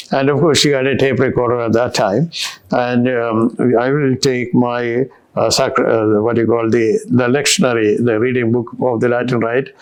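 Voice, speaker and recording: With a Kerala accent, a man speaks at a moderate pace against noticeable background noise. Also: medium pitch for a man, fairly even intonation, very even loudness. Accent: Indian English (Kerala). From India, Kerala. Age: old. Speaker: retired bishop. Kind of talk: interview.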